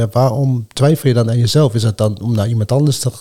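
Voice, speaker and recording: Somewhat breathy, a man talks at a very fast pace. His tone is dark and mellow, with fairly even intonation. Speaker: martial arts fighter and coach. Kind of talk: casual chat. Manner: calm.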